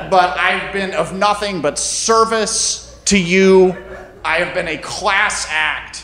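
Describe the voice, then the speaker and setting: A man's raised, projected voice at a very slow pace, over noticeable background noise. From US South, North Carolina. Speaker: storyteller. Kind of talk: live storytelling on stage. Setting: stage with audience.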